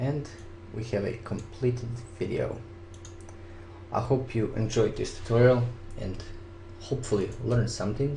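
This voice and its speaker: With a non-native accent, a man of medium pitch talks at a moderate pace with fairly even intonation and long, frequent pauses, in audible room echo. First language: not English. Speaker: video editing hobbyist, contest winner. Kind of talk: software tutorial. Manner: casual, step-by-step instruction.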